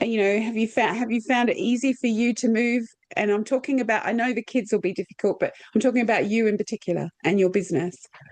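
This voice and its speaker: Very fast and very even in loudness, a woman with an Australian accent speaks at a fairly high pitch with ordinary pitch variation. The sound is dry and close, with no echo. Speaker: podcast host. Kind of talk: casual interview chat.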